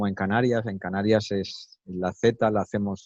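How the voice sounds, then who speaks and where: Fairly slow, monotone, flat speech from a man at a fairly low pitch in a dry, close sound with no echo. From Spain, Málaga (Andalusia). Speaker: interviewee, native speaker. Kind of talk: interview. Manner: hesitant, many fillers.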